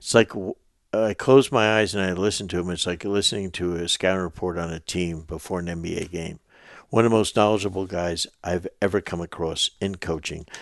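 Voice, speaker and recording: With a very deep, low pitch, a man speaks at a fairly quick pace in a dry, close sound with no echo against a quiet background. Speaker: basketball coach and podcast host. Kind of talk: casual interview with ad read. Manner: animated, enthusiastic.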